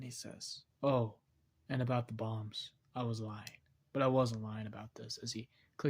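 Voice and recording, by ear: The text is read aloud in a natural voice whose intonation stays fairly even.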